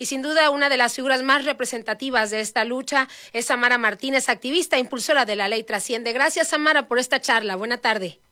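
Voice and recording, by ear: A woman's high-pitched, bright, sharp voice at a fast pace with few pauses, on a very clean recording with a silent background. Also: ordinary pitch variation.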